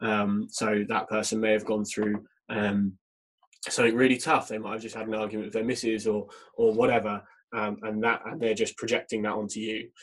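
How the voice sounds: A man with a fairly low pitch speaks at a fairly quick pace, his pitch barely moving.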